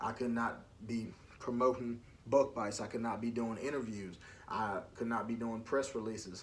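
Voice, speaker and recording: Speech in an American accent comes at a moderate pace, with audible room echo. The intonation is monotone and flat. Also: man, medium pitch for a man. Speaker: podcast host. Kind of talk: casual monologue. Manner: loud.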